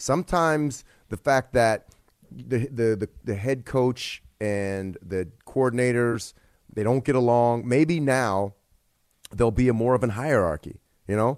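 A man talks at a fairly slow pace in a plain, everyday voice of medium pitch. The sound is dry and close, with no echo. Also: ordinary pitch variation. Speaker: former football player, analyst. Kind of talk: casual sports talk radio discussion. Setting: radio studio.

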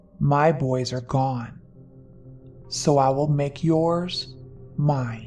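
Over clear background music, a put-on character voice at low-to-middle pitch moves at a very slow pace with long, frequent pauses. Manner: frightening, menacing.

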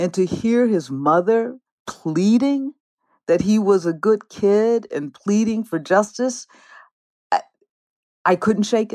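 In a very clean recording with a silent background, a woman with an American accent speaks in a fairly high pitch and a dark, mellow tone, leaving long, frequent pauses. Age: 60s. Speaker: theologian and seminary dean. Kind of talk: interview.

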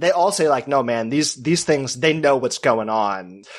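At a moderate pace, a man with an unremarkable speaking voice talks at a medium pitch with lively intonation. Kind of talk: casual chat.

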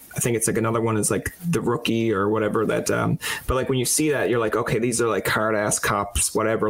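A man talks very fast at a medium pitch, with fairly even intonation and very even loudness. There is noticeable background noise. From Newfoundland. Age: young. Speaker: podcast host. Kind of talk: casual interview. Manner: casual, filler-heavy.

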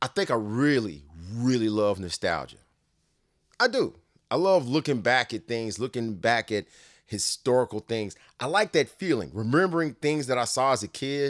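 Recorded very cleanly against a silent background, with a dry, close sound and no echo, a man speaks with lively intonation in a Southern US accent. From Nashville, Tennessee. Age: 40s. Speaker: sports podcast host. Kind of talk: casual monologue.

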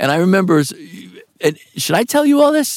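A man talks with an American accent at a moderate pace. His tone is animated. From New York. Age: 60s. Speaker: actor. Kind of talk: casual interview chat. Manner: animated, profane, storyteller.

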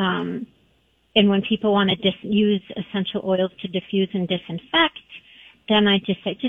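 Somewhat breathy, a woman speaks at a moderate pace and a medium pitch. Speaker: holistic pet practitioner. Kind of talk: interview.

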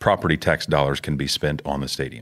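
This is a very clean recording with a silent background. A man talks in an American accent with vocal fry. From Houston, Texas. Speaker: sports facility project director. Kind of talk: casual chat.

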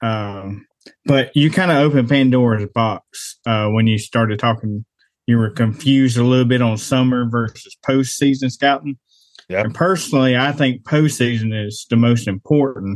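A man with an unremarkable speaking voice, pitched in the medium range. He talks at a moderate pace with ordinary pitch variation. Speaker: hunter. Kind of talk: casual chat.

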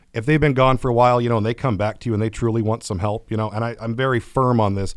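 A man with a Californian accent at medium pitch and a very fast pace. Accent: Californian American. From California, Atwater. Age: 30s. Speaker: recovering addict and fishing mentor. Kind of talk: interview testimony.

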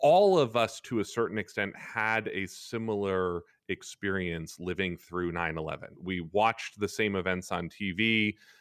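An unremarkable speaking voice from a man, fairly low-pitched at a moderate pace, dry and close with no echo, on a very clean recording with a silent background. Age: 40s. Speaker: historian. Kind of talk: radio interview.

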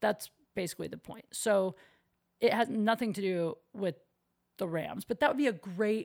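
In a very clean recording with a silent background, a woman with a fairly high pitch talks at a moderate pace, with ordinary pitch variation and long, frequent pauses. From US Midwest. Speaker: comedian and podcast host. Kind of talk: casual chat. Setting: at home, recording alone.

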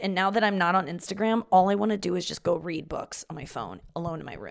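Fairly quick speech from a woman, her pitch varying in an ordinary way. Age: 30s. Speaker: comedy podcast host. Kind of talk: casual monologue.

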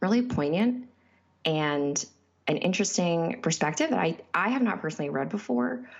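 In an ordinary speaking voice, a woman with an American accent talks at a fairly low pitch. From small town in Connecticut. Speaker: book reviewer. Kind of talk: prepared book review.

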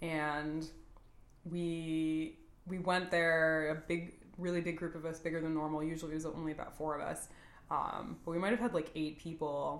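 Speaking at a moderate pace with an American accent, a woman keeps a very deep, low pitch in a monotone, flat delivery, with audible room echo. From San Antonio, Texas. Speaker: marketing professional. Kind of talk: casual chat.

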